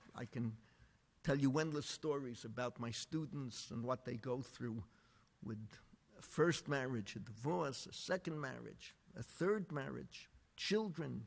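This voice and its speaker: A man's medium-pitched American-accented voice, fairly slow, with vocal fry and lively intonation. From New York (the Bronx). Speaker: rabbi and lecturer. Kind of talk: lecture. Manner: animated.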